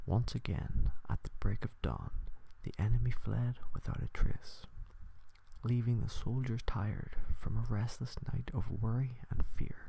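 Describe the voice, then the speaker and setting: Soft-spoken and soothing in tone, the voice moves at a fairly slow pace. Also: man. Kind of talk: soft-spoken ASMR story reading. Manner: soft-spoken, soothing.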